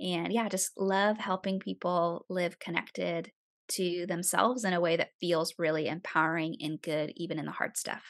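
With an American accent, this woman has an unremarkable speaking voice, fairly low in pitch, at a moderate pace with fairly even intonation, recorded with a dry, close sound with no echo against a quiet background. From upstate New York, small town. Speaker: podcaster and emotional health speaker. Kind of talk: casual interview.

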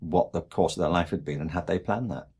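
Somewhat breathy and very deep, low in pitch, a man speaks with ordinary pitch variation on a very clean recording with a silent background. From England, Liverpool. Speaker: education expert and author. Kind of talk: interview conversation.

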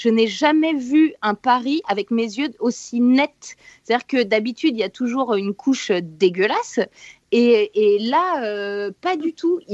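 A woman speaks at a fairly slow pace with a high pitch, an energetic tone and lively intonation. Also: dry, close sound with no echo. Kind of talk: casual chat.

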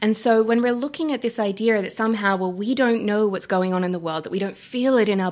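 Her voice sits at a medium pitch, with an Australian accent. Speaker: coach and climate activist. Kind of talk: interview conversation.

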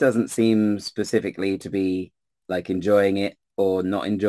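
An unforced reading voice is heard with a quiet background.

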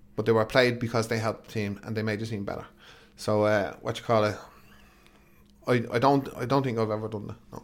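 This man, with an Irish accent, talks at a fairly quick pace in a medium pitch, his intonation monotone and flat, with long, frequent pauses. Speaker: football manager. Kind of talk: interview.

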